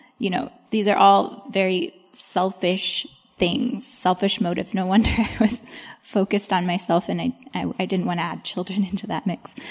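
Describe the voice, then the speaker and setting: A woman with an ordinary speaking voice talks at medium pitch and a moderate pace, with fairly even intonation. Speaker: panelist, homeschooling working mom. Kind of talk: panel Q&A.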